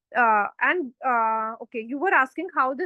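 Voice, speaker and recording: A high-pitched woman with an Indian accent, at a moderate pace. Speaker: tutor. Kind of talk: online tutorial.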